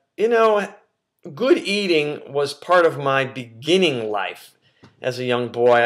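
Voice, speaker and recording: With an American accent, a man speaks at a very slow pace with a fairly high pitch and lively intonation. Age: 50s. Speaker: nutrition coach. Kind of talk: casual talk to camera. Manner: halting, many fillers.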